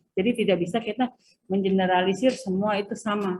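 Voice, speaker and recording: A somewhat breathy woman's voice, medium in pitch, at a fairly quick pace. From Sundanese region, West Java, Indonesia. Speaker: university lecturer. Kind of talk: lecture. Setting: video call lecture. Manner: hesitant, many filler sounds.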